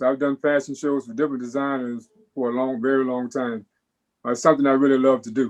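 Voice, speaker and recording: At a medium pitch, a man talks at a very fast pace. His intonation is monotone and flat. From South Florida. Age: 60s. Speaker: menswear designer and model. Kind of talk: interview.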